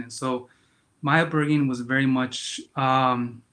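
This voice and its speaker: A man speaks with a Spanish accent. His medium-pitched delivery is monotone and flat. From Yakima County, Washington, US. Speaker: memoir author. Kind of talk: interview. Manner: halting, many fillers and repetitions.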